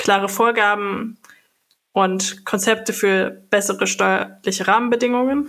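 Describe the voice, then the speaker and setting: Delivered at a moderate pace, this is a normal speaking voice. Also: woman. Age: 20s. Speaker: politician. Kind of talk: interview answers.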